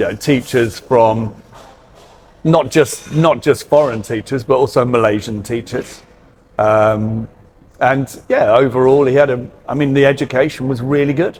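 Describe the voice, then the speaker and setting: A man with a British accent speaks with fairly even intonation. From UK. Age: 50s. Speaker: hairdresser. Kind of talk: casual interview chat. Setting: on camera interview. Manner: hesitant, many fillers.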